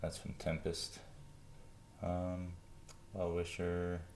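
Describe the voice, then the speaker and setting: His voice is very deep and low. The man's speech carries audible echo from the room. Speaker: trading card seller. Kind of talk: tutorial. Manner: casual, halting with fillers.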